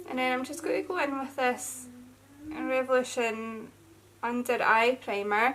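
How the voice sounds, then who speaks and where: A woman speaks in a Scottish accent at a high pitch. Her pace is fairly slow, with ordinary pitch variation. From Scotland. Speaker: beauty vlogger. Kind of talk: casual chat. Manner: chatty.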